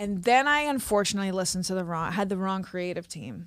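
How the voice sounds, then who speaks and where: This woman's voice sits at a medium pitch. She has an American accent. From Queens, New York. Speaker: comedian and actress. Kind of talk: interview answer. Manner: casual, chatty.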